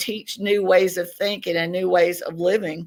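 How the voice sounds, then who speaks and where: A woman speaks with a Southern US accent at a moderate pace. The recording is very clean, with a silent background. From Tennessee, US South. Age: 60s. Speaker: podcast guest, self-described contactee. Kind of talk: interview.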